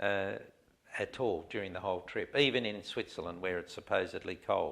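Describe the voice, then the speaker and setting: The pace here is moderate. A man talks in an Australian accent. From Australia (Adelaide). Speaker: man telling his life story. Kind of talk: life story interview. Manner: halting, many fillers.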